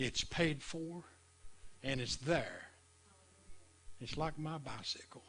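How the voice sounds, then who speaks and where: A man speaks very slowly at a fairly high pitch. His intonation is fairly even. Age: 70s. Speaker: preacher. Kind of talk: sermon. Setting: live stream.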